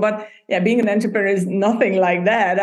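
Amid noticeable background noise, a woman with a Hungarian accent and medium pitch speaks at a fairly quick pace. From Hungary. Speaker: podcast booking entrepreneur. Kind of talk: interview.

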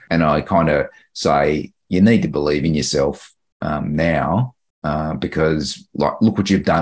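A man with an Australian accent speaks in a very deep, low voice. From Queensland, Australia (Mount Isa). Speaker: public servant. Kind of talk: group coaching conversation.

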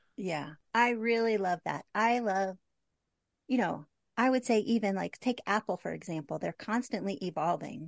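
A woman with an unremarkable speaking voice talks at a moderate pace. The sound is dry and close, with no echo. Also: medium pitch for a woman, ordinary pitch variation. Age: 50s. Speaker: graphic designer and photographer. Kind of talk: casual interview chat.

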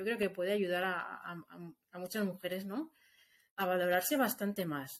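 A woman with a medium pitch talks at a moderate pace with ordinary pitch variation and long, frequent pauses. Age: 40s. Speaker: industrial designer turned entrepreneur. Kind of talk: interview testimony. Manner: halting, with many repetitions.

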